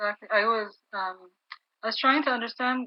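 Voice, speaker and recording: A woman speaks with fairly even intonation in an Arabic accent. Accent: Arab-accented English on English terms. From Kuwait. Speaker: education academic. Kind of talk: casual chat.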